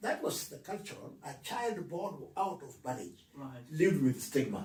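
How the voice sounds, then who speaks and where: Against noticeable background noise, a man with a high pitch speaks at a fairly slow pace, his intonation lively and his loudness swinging widely. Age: 80s+. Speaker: retired civil servant, author. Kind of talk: interview answer.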